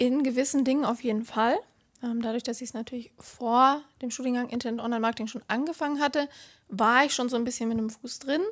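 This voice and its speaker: A woman talks at a very fast pace with a high pitch. Her intonation stays fairly even. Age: 20s. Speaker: student and social media influencer. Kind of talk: interview. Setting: office.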